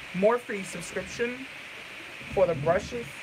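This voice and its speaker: A woman's very slow speech with lively intonation over noticeable background noise. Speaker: beauty vlogger. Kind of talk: live makeup tutorial. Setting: livestream. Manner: casual.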